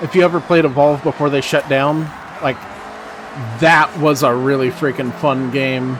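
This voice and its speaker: With an American accent, a man speaks fairly slowly at fairly high pitch and with fairly even intonation while music plays in the background. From Texas. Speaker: gaming streamer. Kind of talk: live gameplay commentary. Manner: casual, rambling with fillers.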